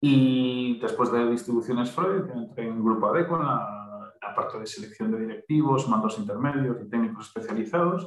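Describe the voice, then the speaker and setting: A man with an ordinary speaking voice talks at a moderate pace. His pitch is medium, and his intonation is lively. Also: hardly any pauses. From Galicia, Pontevedra. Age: 40s. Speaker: human resources trainer. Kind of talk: casual interview.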